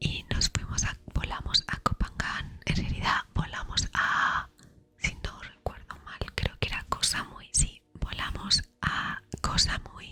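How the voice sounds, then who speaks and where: With noticeable background noise behind it, a whispered voice moves at a very slow pace. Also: woman. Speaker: ASMR creator. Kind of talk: whispered ASMR storytime. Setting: studio, close microphone with relaxing background music. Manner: whispered, soft-spoken.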